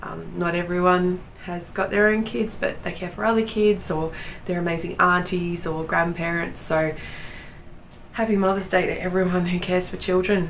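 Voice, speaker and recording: Speaking with an Australian accent, a woman with a fairly low pitch and fairly even intonation is heard over noticeable background noise and audible room echo. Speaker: knitting podcaster. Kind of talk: casual chat.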